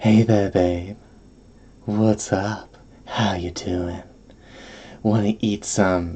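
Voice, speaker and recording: In a breathy, put-on character voice, the speaker goes at a very slow pace with long, frequent pauses. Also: man, fairly low pitch for a man. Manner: flirty, seductive.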